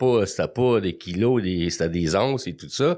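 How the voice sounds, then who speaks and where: At a moderate pace, a man's voice moves through very wide pitch swings. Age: 60s. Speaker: recovering alcoholic guest. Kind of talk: testimony.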